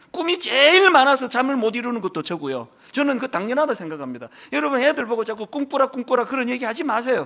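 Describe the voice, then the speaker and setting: A man's raised, projected voice, extremely high and bright and sharp, animated, very fast, with very wide pitch swings. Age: 60s. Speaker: pastor. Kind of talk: sermon.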